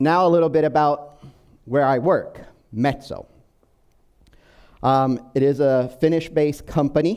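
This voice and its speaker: A man at a fairly slow pace, fairly high in pitch, with fairly even intonation and long, frequent pauses. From Brazil. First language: Portuguese. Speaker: business software manager. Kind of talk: conference presentation. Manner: hesitant, many fillers.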